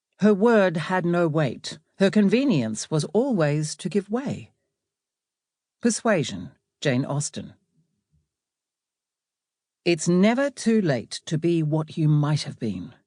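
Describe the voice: A woman's low-pitched, dark, mellow voice, slow and full of long, frequent pauses, with big pitch swings on a very clean recording with a silent background.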